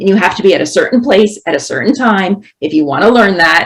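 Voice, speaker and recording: A woman with a plain, everyday voice talks fairly quickly at a fairly low pitch, her intonation lively. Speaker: professor. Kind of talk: panel presentation.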